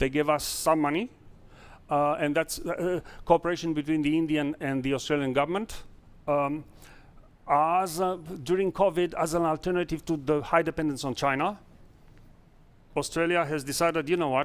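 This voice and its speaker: A man with a non-native accent and fairly high pitch, at a moderate pace with fairly even intonation and long, frequent pauses, in a very clean recording with a silent background. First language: not English. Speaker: startup founder. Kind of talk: investor pitch Q&A. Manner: halting.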